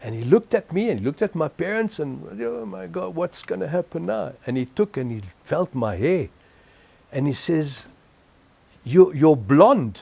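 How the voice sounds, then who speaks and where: A man with a French accent talks in a dark, mellow tone at a fairly high pitch, his voice making very wide pitch swings. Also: moderate pace. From Egypt (Cairo), then Zimbabwe from age 11. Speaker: interviewee recounting life story. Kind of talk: oral history interview. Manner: halting, many repetitions.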